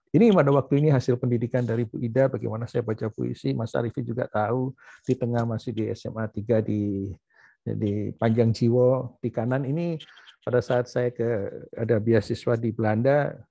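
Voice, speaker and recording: Fairly even intonation in a man's dark, mellow voice of medium pitch. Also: dry, close sound with no echo. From Surabaya, East Java, Indonesia. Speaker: professor and doctor. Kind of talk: memorial talk with slides. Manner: halting, many fillers.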